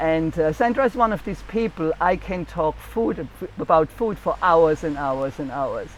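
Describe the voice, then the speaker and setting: Speaks with a German accent. There are hardly any pauses. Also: moderate pace. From Germany. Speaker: cookbook author and channel host. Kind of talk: casual chat. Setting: outdoors on a beach.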